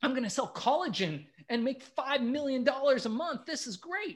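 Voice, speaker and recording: This man speaks with lively intonation. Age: 40s. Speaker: entrepreneur. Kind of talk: podcast interview.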